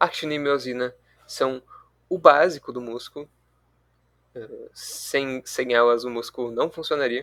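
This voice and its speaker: A man speaks at a fairly slow pace in a medium pitch with fairly even intonation. His loudness swings widely, and he takes long, frequent pauses. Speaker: student tutor leading review session. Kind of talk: online review class.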